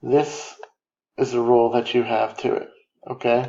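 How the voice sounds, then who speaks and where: Soft-spoken and medium in pitch, this man speaks. He keeps a fairly slow pace. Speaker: math teacher. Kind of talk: lecture. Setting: home recording. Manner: low energy. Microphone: quiet recording.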